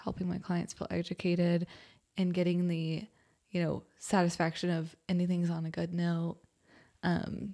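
With an American accent, a woman speaks at a moderate pace and a fairly low pitch, in monotone, flat intonation broken by long, frequent pauses. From Austin area, Texas. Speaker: real estate agent. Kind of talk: casual chat.

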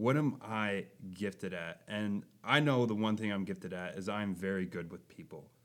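With an American accent, a man speaks at fairly low pitch and a moderate pace, his pitch varying in an ordinary way. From Minnesota, Buffalo. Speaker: Bible camp intern, podcast co-host. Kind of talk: casual chat. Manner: animated.

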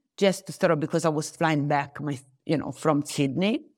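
A woman speaks with a fairly low pitch and ordinary pitch variation. The recording is very clean, with a silent background. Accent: Italian. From Italy, Tuscany (Arezzo). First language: Italian. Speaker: tourism professional. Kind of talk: interview. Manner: halting.

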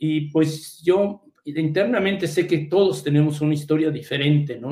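A man's fairly high, somewhat breathy voice at a moderate pace, with audible room echo. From Mexico City. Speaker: hematologist. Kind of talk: interview.

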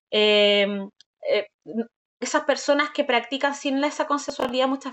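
In a Chilean accent, a woman speaks at a moderate pace with a high pitch and ordinary pitch variation. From southern Chile, Valdivia. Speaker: sexologist. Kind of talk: interview, explaining.

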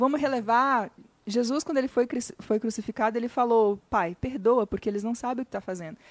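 In a dry, close sound with no echo, a woman talks at a fairly quick pace, her high pitch moving in lively intonation. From Minas Gerais, Brazil (Vale do Jequitinhonha). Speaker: digital marketing influencer and speaker. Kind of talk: podcast interview.

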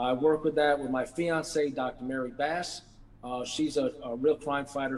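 With an American accent, a man speaks at a moderate pace and medium pitch, his intonation fairly even. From New York City, Brooklyn. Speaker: true crime author and victims' advocate. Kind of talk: interview. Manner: halting, many fillers.

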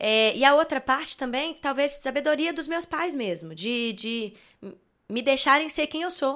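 At a fairly slow pace, a high-pitched woman speaks with a bright, sharp tone and ordinary pitch variation. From Belo Horizonte, Minas Gerais, Brazil. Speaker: worship singer. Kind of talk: casual interview. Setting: studio.

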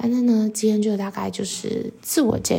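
Fairly even intonation in a woman's fairly high-pitched voice. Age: 20s. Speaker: podcast host. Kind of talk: casual monologue. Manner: hesitant, many fillers.

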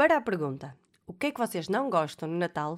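At a moderate pace, a woman speaks in an animated tone with medium pitch. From Portugal, Alfena (Porto area). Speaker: podcast host. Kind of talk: casual monologue.

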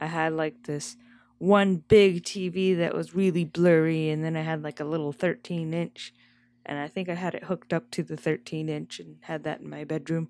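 A soft-spoken woman talks at a moderate pace and fairly low pitch, her intonation monotone and flat while her loudness swings a lot. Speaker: podcast co-host. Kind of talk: casual chat. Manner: soft-spoken, quiet.

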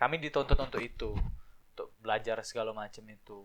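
A man with an ordinary speaking voice talks at a moderate pace with fairly even intonation. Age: 20s. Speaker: regional tourism ambassador. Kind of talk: casual chat.

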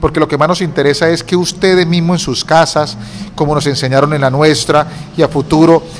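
A man with a fairly high voice talks at a fairly quick pace. His intonation stays fairly even, and background noise is noticeable. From Colombia, Cúcuta. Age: 40s. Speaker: lawyer and entrepreneur. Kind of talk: interview.

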